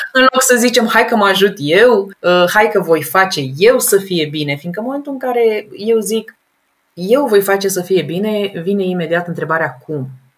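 A woman speaks in an animated tone at a medium pitch. Her pace is moderate. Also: lively intonation. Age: 30s. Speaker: professional organizer. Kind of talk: interview.

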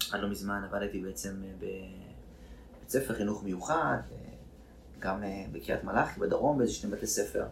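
A man speaks at a fairly slow pace while audible room echo fills the space. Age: 30s. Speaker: actor and therapist. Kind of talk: casual interview.

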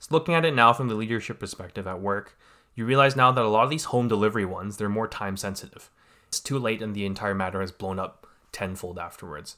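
With a Canadian accent, a bright, sharp voice races along at a very fast pace and swings widely in loudness, on a very clean recording with a silent background. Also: man, fairly low pitch for a man, ordinary pitch variation. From Canada, Greater Vancouver area. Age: 20s. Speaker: cadet program instructor. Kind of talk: casual interview.

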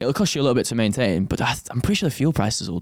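This is a man speaking. He has an English accent. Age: 20s. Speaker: trainee pilot, podcast co-host. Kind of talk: casual chat.

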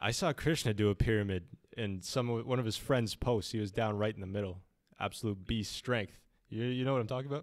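The recording is very clean with a silent background. Speech comes at a fairly quick pace with ordinary pitch variation. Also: man, fairly low pitch for a man. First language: Spanish. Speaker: student podcast host. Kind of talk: casual chat interview.

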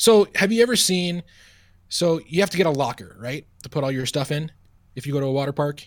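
A man with a plain, everyday voice talks at a fairly quick pace, his pitch fairly high and his intonation lively. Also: very clean recording, silent background. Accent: American. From Long Island, New York. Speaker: sports radio broadcaster. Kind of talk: casual chat.

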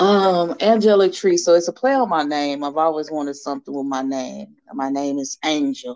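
A woman with a very deep, low voice speaks in a Southern US accent at a fairly slow pace, with ordinary pitch variation. The sound is dry and close, with no echo. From Nashville, Tennessee. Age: 30s. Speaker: small business owner. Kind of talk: interview.

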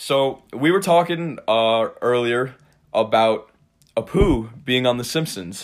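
Using an American accent, a man speaks at a very slow pace with medium pitch and lively intonation. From New York, Cold Spring (Hudson Valley). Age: 20s. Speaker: podcast host, college student. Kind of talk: casual chat.

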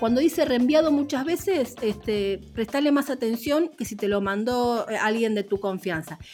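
At a fairly slow pace with hardly any pauses, a woman speaks in a fairly high pitch with lively intonation. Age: 50s. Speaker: radio journalist. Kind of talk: interview conversation. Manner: halting.

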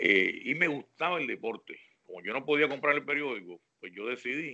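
Talking at a very fast pace, a man with a fairly high pitch and vocal fry uses lively intonation and big swings in loudness. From Puerto Rico, Naguabo. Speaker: sports analyst and journalist. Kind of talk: casual interview chat.

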